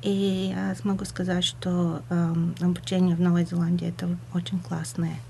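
A woman with a Bulgarian accent at a moderate pace, her loudness very even. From Bulgaria, Burgas. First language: Bulgarian (speaking Russian). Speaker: community radio presenter. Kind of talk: radio interview. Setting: radio studio. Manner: halting, searching for words.

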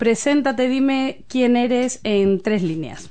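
A woman with a Castilian accent speaks at a very slow pace in a high pitch. Her tone is dark and mellow, and her intonation is lively. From Spain. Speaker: community radio host. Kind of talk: casual interview.

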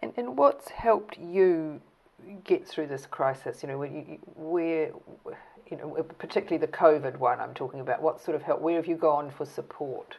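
A woman speaks at a moderate pace with ordinary pitch variation. Her pitch is very deep and low. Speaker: oral history interviewer. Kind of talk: interview.

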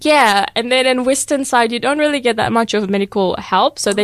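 In a normal speaking voice, a woman talks at a fairly high pitch, the sound dry and close with no echo. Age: 20s. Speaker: student and youth coordinator. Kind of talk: radio interview. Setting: radio studio.

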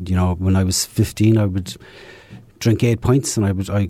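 A man speaks with a very deep, low pitch, a dark, mellow tone and a somewhat breathy quality. He has an Irish accent and fairly even intonation. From southern Ireland. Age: 50s. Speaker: recovering alcoholic. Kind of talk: testimony. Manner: halting.

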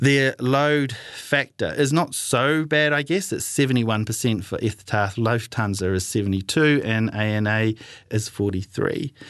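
A speaker with a New Zealand accent talks at a moderate pace with ordinary pitch variation against a quiet background. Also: man, medium pitch for a man. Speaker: community radio travel show host. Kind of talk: solo radio talk. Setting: radio studio. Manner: halting, many fillers.

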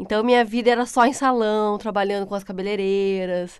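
This is a woman with a plain, everyday voice. She keeps a medium pitch, ordinary pitch variation, and a moderate pace. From Brazil, São Paulo state (Pindamonhangaba, Vale do Paraíba). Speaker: tiler. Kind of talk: casual interview.

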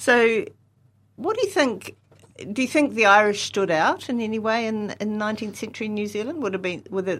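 A woman's fairly high voice, a normal speaking voice, with lively intonation at a moderate pace. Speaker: history professor and podcast host. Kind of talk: academic podcast discussion.

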